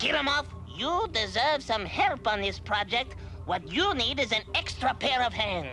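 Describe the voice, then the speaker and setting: A cartoonish character voice moves at a moderate pace. Clear music plays in the background. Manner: imperious, impatient.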